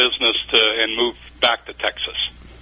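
With noticeable background noise behind him, a man speaks in an American accent at a moderate pace. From Ohio, near Cleveland. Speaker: business consultant and author. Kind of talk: radio interview.

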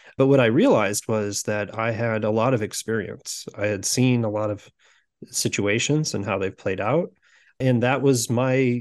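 In a Midwestern American accent, a man of medium pitch speaks at a moderate pace with fairly even intonation against a quiet background. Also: big swings in loudness. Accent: General Midwestern American. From US Midwest (Sioux City, Iowa). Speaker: executive coach. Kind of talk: interview conversation.

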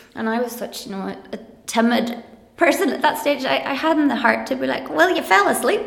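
A woman with a Donegal accent and a high pitch, lively in intonation, at a fairly quick pace over noticeable background noise. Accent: Donegal Irish (Ulster). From Ireland, County Donegal. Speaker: primary teacher and lecturer. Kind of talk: casual interview conversation.

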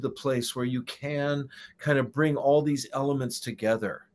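A man with an ordinary speaking voice and fairly high pitch talks on a very clean recording with a silent background. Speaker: podcast host. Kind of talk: casual interview chat.

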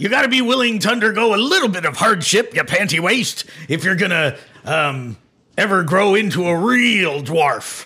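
In a put-on character voice, a man talks at a high pitch. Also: moderate pace. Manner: gruff, scolding.

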